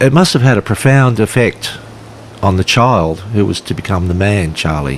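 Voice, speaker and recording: Lively intonation marks a man's Australian accent, heard over noticeable background noise. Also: fairly low pitch for a man, moderate pace. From western Sydney, Australia. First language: Polish. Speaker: author and teacher. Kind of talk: casual conversation. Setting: outdoors, walking on a beach.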